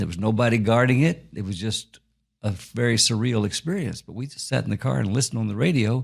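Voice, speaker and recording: At a very fast pace, a somewhat breathy man with a medium pitch speaks with ordinary pitch variation. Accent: Texan. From Texas, Fort Worth. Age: 70s. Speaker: author. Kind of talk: interview storytelling. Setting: studio. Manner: halting.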